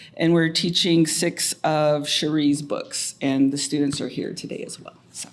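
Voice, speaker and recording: A woman speaks at a very deep, low pitch in a monotone, flat delivery. Her pace is fairly slow with hardly any pauses, and her loudness swings widely. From Muscogee Nation, Oklahoma. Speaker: professor, department chair. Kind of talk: panel self-introduction. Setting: university room with audience and mics.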